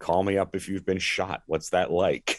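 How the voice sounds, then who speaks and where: Recorded dry and close with no echo, this voice speaks with an American accent. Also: man. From US Northeast, Philadelphia area. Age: 60s. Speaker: pastor, former sports radio host. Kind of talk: testimony.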